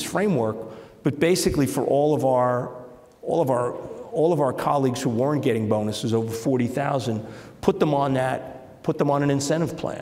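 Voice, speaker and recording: A man speaks in a New York accent with ordinary pitch variation. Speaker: business executive. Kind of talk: interview. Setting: stage with audience. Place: stage. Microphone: lapel.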